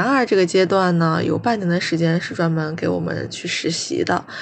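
Noticeable background noise accompanies a woman whose fairly low-pitched voice moves at a moderate pace. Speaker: podcast co-host, master's student. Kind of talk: casual chat.

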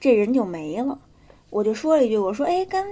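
A woman's voice with very wide pitch swings. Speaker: podcast co-host telling ghost stories. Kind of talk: casual storytelling chat.

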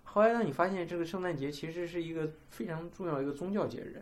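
In a room with audible echo, a man speaks at a very fast pace. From China. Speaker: podcast co-host. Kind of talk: casual chat.

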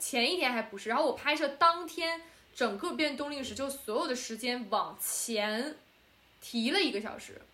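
A high-pitched woman's voice, bright and sharp in tone, with lively intonation and a fairly slow pace, plus audible room echo. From China. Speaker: podcast co-host and film student director. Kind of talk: casual chat. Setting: remote call, late night.

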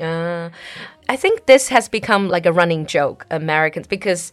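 This woman talks fairly quickly with a Chinese accent. Her voice is fairly low in pitch. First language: Mandarin Chinese. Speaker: podcast host. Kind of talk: casual chat. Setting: studio.

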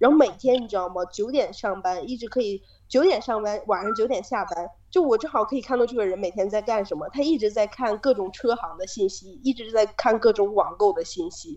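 Over noticeable background noise, a woman with a fairly high pitch speaks at a fairly quick pace with lively intonation and hardly any pauses. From China. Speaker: student abroad, office worker. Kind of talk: casual chat.

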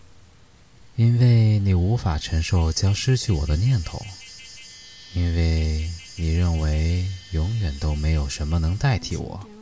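Very slow and very deep, a man's voice carries a gentle, calm tone with ordinary pitch variation and big swings in loudness. Noticeable background noise sits behind him. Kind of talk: bedtime story telling, read aloud in English then Chinese. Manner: gentle, slow and calm, reading with soft dramatic pauses and dialogue; measured, soothing, formal narration.

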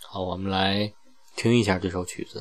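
A man's fairly low-pitched voice. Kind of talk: solo podcast narration.

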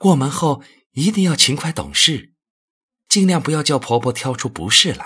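A man's fairly high, bright and sharp voice with lively intonation at a moderate pace, on a very clean recording with a silent background. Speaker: audiobook narrator. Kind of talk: literary audiobook reading, narrated novel prose. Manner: measured, storytelling pace, expressive.

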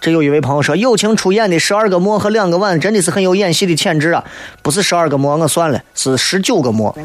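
A man speaks at a very fast pace in a Shaanxi accent, his pitch high and his loudness very even. Noticeable background noise and audible room echo fill the recording. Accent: Shaanxi dialect (Guanzhong). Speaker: radio talk show host. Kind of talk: casual radio monologue. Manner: animated.

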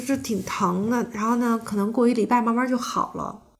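A woman speaks at a fairly quick pace. She has an unremarkable speaking voice. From Beijing, China. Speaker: yoga teacher. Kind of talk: casual interview conversation.

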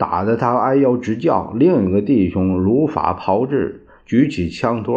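A natural voice carries this reading.

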